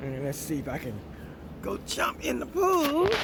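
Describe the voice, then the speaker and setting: Over noticeable background noise and audible room echo, a man talks in a relaxed tone. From Miami, Florida. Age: 60s. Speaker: vlogger. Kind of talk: casual vlog talk. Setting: outdoors by a pool.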